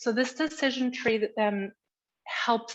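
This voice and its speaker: Against a quiet background, a woman speaks fairly slowly with a German accent. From Germany (Berlin). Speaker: education expert. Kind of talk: conference presentation. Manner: halting, with fillers and restarts.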